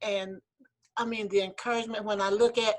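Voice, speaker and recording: A woman's fairly high voice with a Southern accent and fairly even intonation. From US South, South Carolina. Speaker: former legislator, award community member. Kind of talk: emotional thank-you speech on video call.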